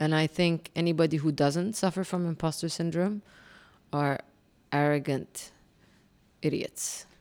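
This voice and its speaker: A woman with an Arabic accent talks fairly slowly in a very deep, low pitch, with long, frequent pauses. Her loudness stays very even, her intonation is fairly even, and the recording is very clean with a silent background. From Kuwait. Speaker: communications executive, former military officer. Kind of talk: interview.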